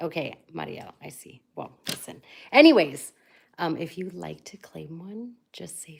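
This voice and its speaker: Whispering goes on at a fairly slow pace. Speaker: live-stream bead seller. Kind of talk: live sales stream. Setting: live stream.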